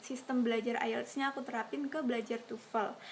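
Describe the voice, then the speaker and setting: A woman's fairly high voice at a moderate pace, with fairly even intonation and noticeable background noise. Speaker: YouTuber, scholarship recipient. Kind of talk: casual Q&A vlog. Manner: casual, with hesitations.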